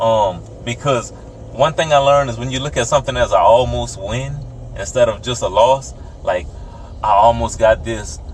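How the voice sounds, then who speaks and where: A man at a fairly slow pace with noticeable background noise. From rural US South. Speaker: podcast co-host. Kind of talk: casual chat.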